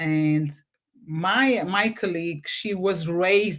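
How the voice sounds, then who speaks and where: Speaking at a very slow pace, a woman with a Portuguese accent uses a fairly low pitch and ordinary pitch variation. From Portugal. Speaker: podcast host. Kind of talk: casual interview chat. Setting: live video stream. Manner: halting.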